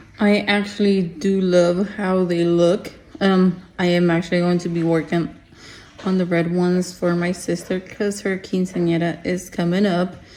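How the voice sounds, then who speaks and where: This woman speaks at a moderate pace in a fairly low, monotone voice with flat intonation. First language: Spanish. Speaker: craft small-business owner. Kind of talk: tutorial. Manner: casual, hesitant with fillers.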